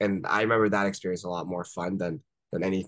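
With an American accent and vocal fry, a man speaks in a very deep, low pitch with ordinary pitch variation against a quiet background. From US, Washington D.C. area. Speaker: entrepreneur; podcast guest. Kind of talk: interview. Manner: casual, many fillers. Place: home room. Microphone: video call.

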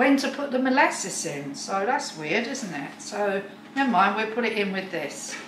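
Over noticeable background noise, a woman talks at a fairly slow pace with fairly high pitch and lively intonation. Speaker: home cook. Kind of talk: casual cooking video talk to camera. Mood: chatty, mildly puzzled. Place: kitchen. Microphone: camera far.

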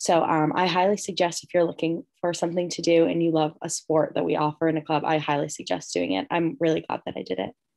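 A woman talks at a very fast pace with hardly any pauses. The background is quiet. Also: fairly low pitch for a woman, ordinary pitch variation. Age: 20s. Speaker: college student; panelist. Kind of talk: live Q&A chat. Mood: friendly, upbeat. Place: home room. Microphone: video call.

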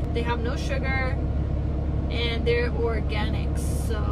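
A woman speaks over loud background noise. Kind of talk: casual vlog chat. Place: car. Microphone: phone near.

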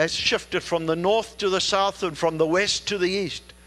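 Raised and projected, a man's voice sounds bright and sharp, with fairly even intonation. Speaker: preacher. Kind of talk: sermon. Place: church. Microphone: headset.

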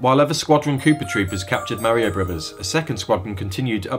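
The reading is plain and aloud, carried by lively intonation.

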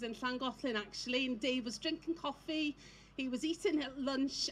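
A high-pitched woman's voice at a fairly quick pace, with ordinary pitch variation and light background noise. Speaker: speaker. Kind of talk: personal testimony speech. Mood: emotional, recounting husband's illness. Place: stage. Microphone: handheld.

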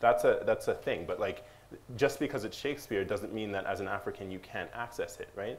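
A man at a fairly quick pace, with light background noise. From US. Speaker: novelist and filmmaker; panelist. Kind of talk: panel discussion. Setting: stage with audience. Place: hall.

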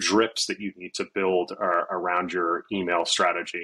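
This man's tone is bright and sharp. A slightly husky edge runs through it.

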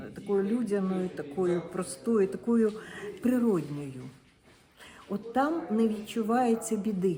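Over noticeable background noise, a woman of medium pitch talks at a very slow pace with long, frequent pauses, lively intonation and very even loudness. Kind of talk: interview answer.

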